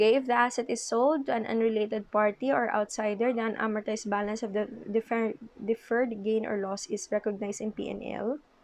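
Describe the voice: A woman's fairly high voice, slightly mellow in tone, at a fairly quick pace with few pauses and little pitch movement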